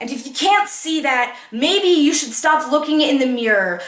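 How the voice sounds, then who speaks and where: A woman raises and projects her high-pitched voice at a fairly slow pace. Noticeable background noise is present. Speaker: slam poet. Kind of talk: slam poetry performance.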